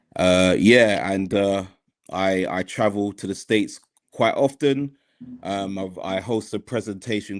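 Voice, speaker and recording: Over a quiet background, a man with a British accent speaks at a moderate pace, his fairly low voice keeping a fairly even intonation. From United Kingdom. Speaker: mental health worker. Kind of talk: podcast discussion.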